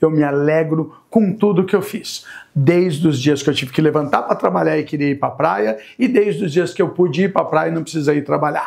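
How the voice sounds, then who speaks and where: Delivered at a fairly quick pace, a man's unremarkable speaking voice carries fairly high pitch and lively intonation. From Brazil, Itanhaém coast. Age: 60s. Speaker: local government secretary and shop owner. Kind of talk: interview.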